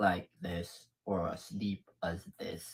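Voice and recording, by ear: A put-on, raspy character voice from a man, pitched very deep and low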